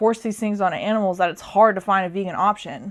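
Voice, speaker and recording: A woman's ordinary speaking voice with an American accent, medium in pitch with ordinary pitch variation, fairly quick in pace, over a quiet background. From US Midwest, rural Nebraska. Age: 20s. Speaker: vlogger. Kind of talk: casual chat. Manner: casual, filler-heavy.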